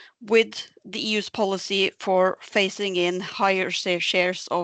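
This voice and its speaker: Her intonation is monotone and flat. This woman's pitch sits at a medium level. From Norway, Bergen. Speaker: senior researcher. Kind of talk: presentation. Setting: remote talk. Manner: halting, many fillers.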